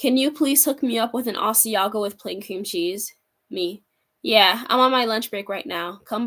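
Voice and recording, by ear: The background is quiet. A natural voice reads the text aloud.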